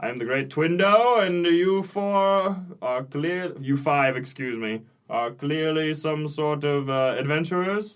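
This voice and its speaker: A man puts on a loud, robotic character voice with a fairly high pitch at a fairly slow pace. The recording is very clean, with a silent background. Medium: actual play. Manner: pompous, grandiloquent.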